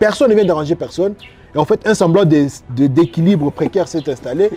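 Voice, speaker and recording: A man's high-pitched voice, lively in intonation, at a fairly quick pace. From eastern DR Congo, Goma. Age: 30s. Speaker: journalist. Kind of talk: interview.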